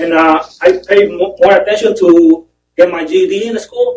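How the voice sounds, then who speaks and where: A man with a strong Spanish accent speaks at a moderate pace with ordinary pitch variation. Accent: heavy Spanish. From Mexico. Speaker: prison inmate. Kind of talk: testimony. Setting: parole board hearing. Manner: halting.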